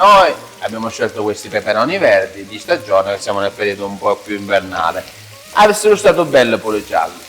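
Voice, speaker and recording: Speaking fairly quickly with a slight Sicilian accent, a man is heard over noticeable background noise. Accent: mild Ragusa Sicilian. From Sicily, Vittoria area (Ragusa province). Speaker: cooking show host. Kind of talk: cooking demonstration, casual chat.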